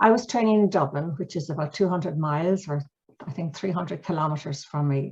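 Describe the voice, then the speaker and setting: Somewhat breathy voice with an Irish accent and ordinary pitch variation. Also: woman. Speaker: mediation trainer and author. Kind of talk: storytelling; webinar presentation. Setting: video call webinar. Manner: fast; animated.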